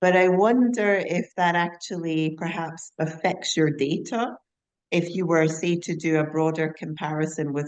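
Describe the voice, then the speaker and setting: Talking rather slowly, a woman speaks in a very deep, low register. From Scotland. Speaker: conference attendee asking questions. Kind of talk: audience question. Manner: polite, formal.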